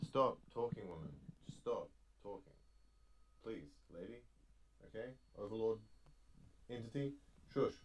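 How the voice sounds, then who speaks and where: Speaking at a fairly slow pace with long, frequent pauses, a man uses a medium pitch, lively intonation and a somewhat breathy delivery, with big swings in loudness. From New Zealand. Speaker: podcast host. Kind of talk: casual chat. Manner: animated.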